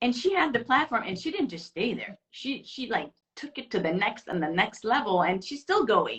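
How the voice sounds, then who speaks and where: With an Iranian accent, a woman talks at a moderate pace with hardly any pauses, her fairly high voice swinging very widely in pitch. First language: Farsi. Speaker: interview guest. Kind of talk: casual interview chat.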